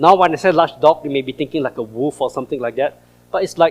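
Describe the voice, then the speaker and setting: A man with an American accent talks at a very fast pace, his fairly high pitch showing ordinary variation. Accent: Singaporean, noticeable to US audience. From Singapore. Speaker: creation science speaker. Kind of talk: presentation to church audience. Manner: animated.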